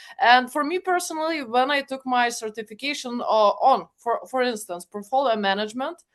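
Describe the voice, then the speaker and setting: Speaking with a Lithuanian accent, a woman uses lively intonation at a high pitch and leaves hardly any pauses. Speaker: project management expert and guide co-author. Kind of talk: webinar panel discussion. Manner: hesitant, many fillers.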